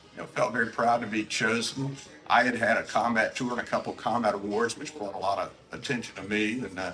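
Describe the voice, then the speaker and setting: A man's medium-pitched voice with an American accent, very fast and fairly even in intonation, over noticeable background noise. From US South, Savannah, Georgia. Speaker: retired naval officer. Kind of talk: interview.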